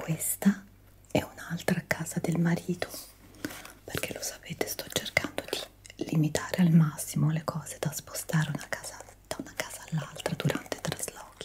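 This woman is whispering. Her pace is moderate. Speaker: ASMR creator. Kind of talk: soft-spoken ASMR chat. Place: home room. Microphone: studio mic.

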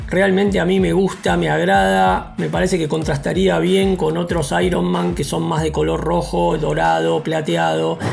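Faint background music accompanies a man who speaks at a fairly slow tempo. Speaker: toy collector reviewer. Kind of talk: casual unboxing review. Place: home room.

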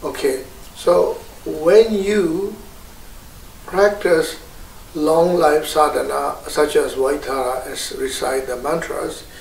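A man at a very slow pace with long, frequent pauses, audible room echo and light background noise. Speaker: Buddhist teacher. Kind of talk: Buddhist teaching on meditation practice. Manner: slow, hesitant, explanatory. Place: home room.

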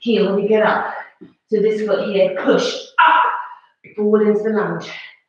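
A woman speaks at a fairly slow pace. Strong room echo surrounds her voice. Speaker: fitness instructor. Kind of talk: workout instruction. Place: home room. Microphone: camera far.

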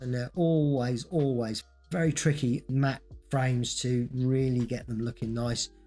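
Over music in the background, a man talks at a fairly slow pace with fairly even intonation. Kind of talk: tutorial narration.

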